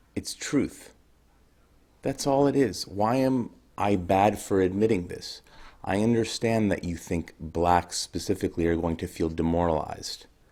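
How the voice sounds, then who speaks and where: Soft-spoken and dark, mellow in tone, a man talks at a fairly slow pace with a fairly low pitch and ordinary pitch variation, on a very clean recording with a silent background. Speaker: video blogger. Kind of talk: monologue to camera.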